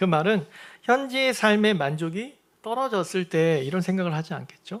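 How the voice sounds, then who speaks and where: A high-pitched man with lively intonation on a very clean recording with a silent background. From Seoul, South Korea (moved from Sangju at age 4-5). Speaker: pastor. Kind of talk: sermon. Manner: conversational, addresses congregation directly.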